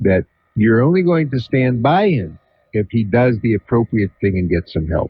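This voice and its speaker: A somewhat breathy man speaks at a moderate pace, his medium pitch showing very wide swings. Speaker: psychiatrist, radio talk show host. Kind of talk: call-in radio advice. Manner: calm.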